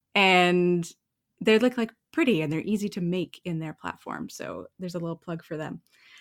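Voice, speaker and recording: A woman with a Canadian accent talks in a normal speaking voice, fairly low in pitch, at a moderate pace with ordinary pitch variation and big swings in loudness. The recording is very clean with a silent background and a dry, close sound with no echo. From Canada. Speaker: writer and yoga teacher. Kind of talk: casual interview.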